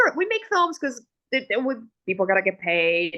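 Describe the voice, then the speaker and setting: A woman speaks with an Italian accent at a fairly quick pace. Her intonation is lively. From Italy. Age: 30s. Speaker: film director. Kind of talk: interview conversation. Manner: halting, many fillers and restarts.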